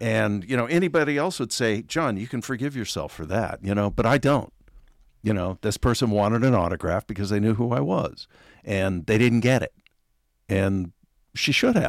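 Speaking with an American accent, a man at medium pitch uses lively intonation and a moderate pace on a very clean recording with a silent background. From US, Oregon small town. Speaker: actor and author. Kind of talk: casual interview chat. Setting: in person studio.

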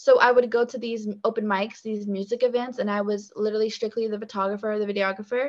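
A woman with an American accent uses a plain, everyday voice, fairly high in pitch, with fairly even intonation. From US South, Virginia (Richmond/Petersburg). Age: 20s. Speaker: singer-songwriter. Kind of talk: casual interview.

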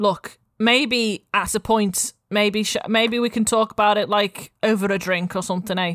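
Against a quiet background, the voice reads aloud naturally, its intonation fairly even.

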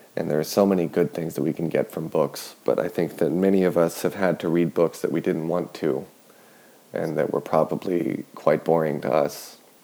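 Soft-spoken, a man uses a very deep, low pitch and a dark, mellow tone, his intonation fairly even. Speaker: sleep podcast host. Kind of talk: sleep-aid monologue. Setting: at home in kitchen. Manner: slow, droning with pauses.

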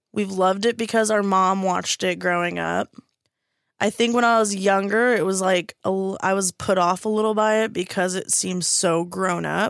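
In a very clean recording with a silent background, a woman speaks at a moderate pace in a flat monotone. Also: medium pitch for a woman. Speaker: podcast co-host. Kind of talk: casual chat. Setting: studio.

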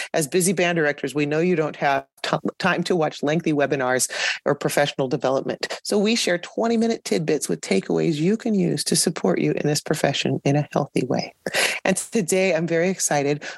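A woman's very deep, low voice, fairly quick and lively in intonation, with very even loudness and a dry, close sound with no echo. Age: 50s. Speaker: podcast host, veteran band director. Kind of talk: podcast interview.

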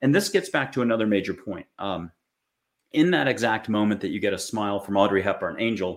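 With an American accent, a man delivers an unremarkable speaking voice at medium pitch and a fairly quick pace. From United States. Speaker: spiritual author and intuitive. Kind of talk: interview conversation.

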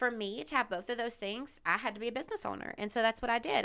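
A woman with a Southern US accent talks at a very fast pace. Her fairly high voice has a bright, sharp tone and ordinary pitch variation. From US South. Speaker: podcast host. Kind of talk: casual monologue. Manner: casual, with fillers and laughs.

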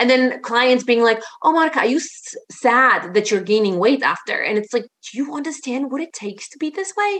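A high-pitched woman with a Polish accent, fairly quick, with very wide pitch swings and big swings in loudness. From Poland. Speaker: fitness and life coach. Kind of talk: casual interview chat.

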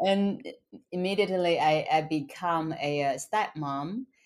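On a very clean recording with a silent background, a woman speaks with a Chinese accent. Her pitch is fairly low, and her pace fairly slow. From China. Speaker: author and motivational speaker. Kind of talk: interview.

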